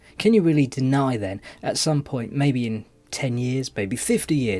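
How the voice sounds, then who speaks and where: A man with a British accent, medium-pitched, with a dark, mellow tone, lively intonation, and a fairly quick pace. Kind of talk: voice-over commentary.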